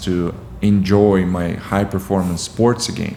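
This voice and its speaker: Against noticeable background noise and audible room echo, a man speaks at a very deep, low pitch with fairly even intonation. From Ukraine. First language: Russian. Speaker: competitive swimmer. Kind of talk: podcast interview. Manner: halting, with frequent fillers.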